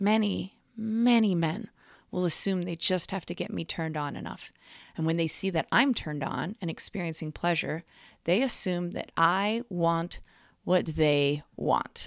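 At a fairly slow pace, a woman talks in an unremarkable speaking voice. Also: fairly low pitch for a woman, ordinary pitch variation. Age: 40s. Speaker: sex educator. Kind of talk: audio diary narration.

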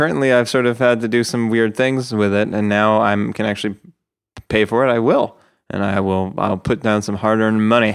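The man has a normal speaking voice with a fairly low pitch. He talks at a fairly quick pace with fairly even intonation. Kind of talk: casual chat. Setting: video call.

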